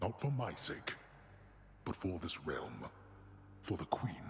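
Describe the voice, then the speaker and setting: Over clear background noise, someone uses a put-on character voice at a fairly slow pace. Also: man, fairly low pitch for a man. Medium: video game. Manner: formal, grave, commanding.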